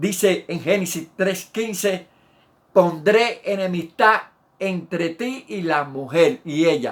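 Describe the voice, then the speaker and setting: A man's high-pitched voice at a very slow pace, in a very clean recording with a silent background. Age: 70s. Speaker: pastor. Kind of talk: sermon.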